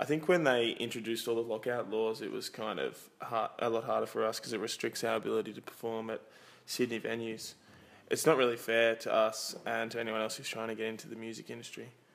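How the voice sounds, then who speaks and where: Talking at a very fast pace, a man speaks in an Australian accent. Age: young. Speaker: musician. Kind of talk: interview.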